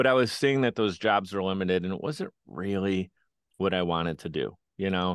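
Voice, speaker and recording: Against a quiet background, someone with a Western New York accent speaks at a moderate pace with ordinary pitch variation and a dry, close sound with no echo. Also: man, very deep, low pitch for a man. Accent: Western New York American. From Buffalo, New York, US. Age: 30s. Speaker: podcast producer and entrepreneur. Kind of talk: interview conversation. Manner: animated.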